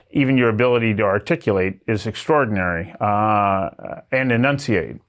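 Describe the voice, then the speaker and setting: A man has a plain, everyday voice at a fairly low pitch. He keeps a moderate pace, very even loudness and ordinary pitch variation. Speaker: talk show host. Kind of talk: interview questions, conversational.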